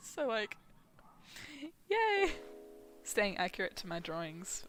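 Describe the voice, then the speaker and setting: A woman's bright, sharp voice with an Australian accent, at a moderate pace. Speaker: streamer and artist. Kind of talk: casual chat. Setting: live stream. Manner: animated.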